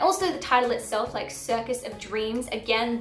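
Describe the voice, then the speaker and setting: A fairly high-pitched woman with an Australian accent at a moderate pace, with noticeable background noise. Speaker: book vlogger. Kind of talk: book review vlog. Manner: casual, filler-heavy.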